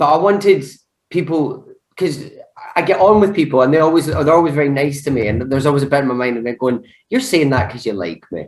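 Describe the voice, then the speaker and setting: This man has a Scottish accent, a fairly high pitch and an animated tone, and he talks at a very fast pace. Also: lively intonation. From Scotland, Glasgow. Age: 20s. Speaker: actor. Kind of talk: casual chat.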